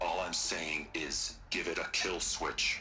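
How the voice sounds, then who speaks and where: At a fairly slow pace, a man performs in a put-on character voice. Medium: video game. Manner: nervous, defensive.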